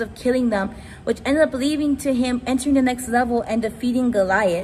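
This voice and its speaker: In a room with audible echo, a woman speaks at a fairly high pitch with fairly even intonation. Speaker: youth ministry speaker. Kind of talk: sermon. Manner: naturally very fast talker.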